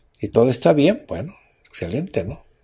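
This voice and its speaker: This man talks with a Mexican accent and ordinary pitch variation. His voice is somewhat breathy. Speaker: radio host. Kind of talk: radio health talk show.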